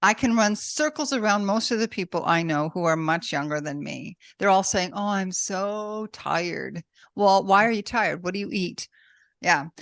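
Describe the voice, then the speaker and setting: A woman's normal speaking voice at medium pitch and moderate pace, with lively intonation, a dry, close sound with no echo, and a quiet background. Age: 60s. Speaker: podcast host and author. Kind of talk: interview.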